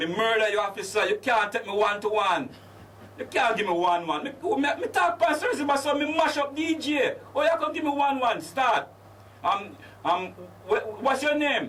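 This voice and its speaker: With very wide pitch swings, a man talks at a moderate pace as noticeable background noise plays beneath him. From Jamaica, Clarendon. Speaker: Rastafarian chaplain and activist. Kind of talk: storytelling interview. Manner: animated, acts out dialogue.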